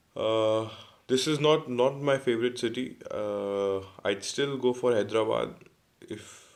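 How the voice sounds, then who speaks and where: Very slowly, a man speaks with ordinary pitch variation in a very clean recording with a silent background. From India, Jaipur, Rajasthan. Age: 20s. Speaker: law student and entrepreneur. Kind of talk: self-introduction video answering questions. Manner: halting, many repetitions and fillers.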